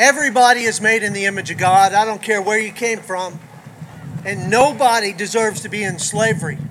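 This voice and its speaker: An American accent comes through at a fairly quick pace with ordinary pitch variation. Noticeable background noise sits behind the voice. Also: man, high pitch for a man. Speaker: county sheriff. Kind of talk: rally speech. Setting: outdoor rally stage with crowd.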